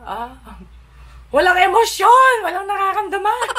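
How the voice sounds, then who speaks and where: A woman speaks in a raised, projected voice at a moderate pace. Light background noise is present. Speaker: vlogger. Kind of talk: casual vlog chat. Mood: playful, animated. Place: home room.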